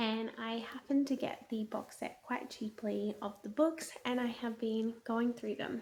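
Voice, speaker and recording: The speaker is a woman with a fairly high pitch. She talks at a fairly slow pace. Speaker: book reviewer vlogger. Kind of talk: casual video monologue. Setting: at home at night. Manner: quiet, hushed; animated.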